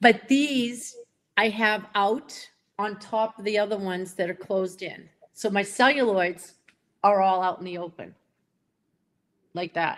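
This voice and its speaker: A woman with a Boston accent at medium pitch, with ordinary pitch variation, big swings in loudness, a fairly slow pace and long, frequent pauses. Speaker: pen collector. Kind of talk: casual chat.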